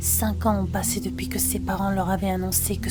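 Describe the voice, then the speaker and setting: A soft-spoken woman at a moderate pace, calm and soothing in tone, with music in the background. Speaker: ASMR storyteller. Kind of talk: ASMR bedtime story reading. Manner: soft-spoken, calm, soothing.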